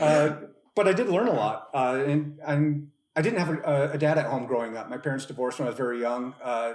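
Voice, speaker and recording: A man talks at a fairly quick pace with an American accent. His pitch is fairly high, with ordinary variation. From northern Minnesota, Duluth. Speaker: camp staff volunteer, former scout. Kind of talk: casual podcast interview. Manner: repeats words, many fillers.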